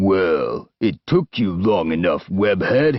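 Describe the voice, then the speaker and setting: A man does a put-on character voice, growling at a fairly low pitch. He delivers it at a very slow pace. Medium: read story. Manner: gruff, blunt.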